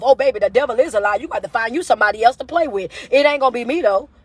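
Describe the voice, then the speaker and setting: Loud and animated, a woman with a high pitch and ordinary pitch variation speaks at a very fast pace over noticeable background noise. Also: dry, close sound with no echo. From US South. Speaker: motivational speaker. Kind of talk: live stream rant. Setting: social media livestream.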